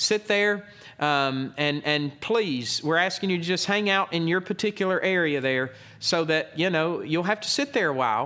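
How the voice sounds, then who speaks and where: His voice is raised and projected. The speaker is a man. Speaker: pastor. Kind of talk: church announcement. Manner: loud.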